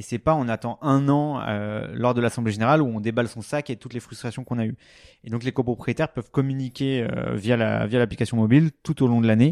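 Recorded with a dry, close sound and no echo, a man with an ordinary speaking voice talks at a fairly quick pace and a medium pitch. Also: fairly even intonation, big swings in loudness, quiet background. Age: 30s. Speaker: startup founder. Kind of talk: casual interview.

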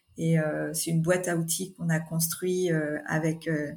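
A woman with a fairly low pitch speaks in a monotone, flat way and sounds somewhat breathy. The recording is very clean against a silent background. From Normandy, France. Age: 40s. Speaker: mayor. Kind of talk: interview. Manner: hesitant, many fillers.

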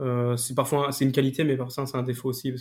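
Somewhat breathy and very fast, a man talks at a medium pitch with monotone, flat intonation. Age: 20s. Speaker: paralympic sprinter. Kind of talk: interview. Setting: at home.

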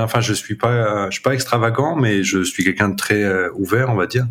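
Speaking at a moderate pace, a man keeps a fairly low pitch and fairly even intonation. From north-eastern France, Champagne-Ardenne. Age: 30s. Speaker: jazz saxophonist. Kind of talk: interview. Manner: hesitant, many fillers.

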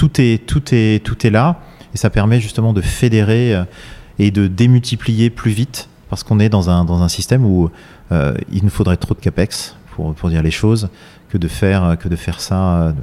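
A man talks at a moderate pace with an ordinary speaking voice. His pitch is fairly low and varies in an ordinary way. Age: 40s. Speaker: architect-engineer, company president. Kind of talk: interview. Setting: factory workshop.

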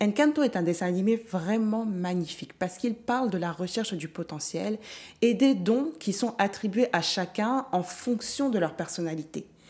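A woman's medium-pitched voice with lively intonation at a moderate pace. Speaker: podcast host, mindset coach. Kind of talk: solo motivational monologue. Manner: improvised, conversational.

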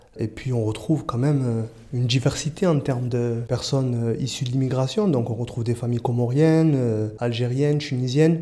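A plain, everyday voice from a man at medium pitch, fairly quick, with ordinary pitch variation. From Marseille, southern France. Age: 30s. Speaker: youth prevention worker. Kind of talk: interview testimony. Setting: outdoors.

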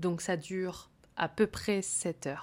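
A woman's fairly even intonation on a very clean recording with a silent background. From Corsica. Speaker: French teacher and podcast host. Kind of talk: language-learning podcast monologue. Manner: clear, paced for learners.

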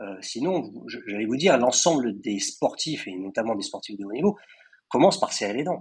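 A man's medium-pitched voice with very wide pitch swings and big swings in loudness. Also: moderate pace. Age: 50s. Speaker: mental coach for athletes. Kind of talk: interview. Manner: hesitant, repeats words.

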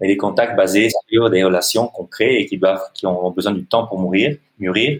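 A man with an Italian accent and fairly low pitch, at a moderate pace with hardly any pauses, in a dry, close sound with no echo. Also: ordinary pitch variation. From Italy. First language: Italian (speaking French). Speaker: NGO director and social entrepreneur. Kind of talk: interview. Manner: halting.

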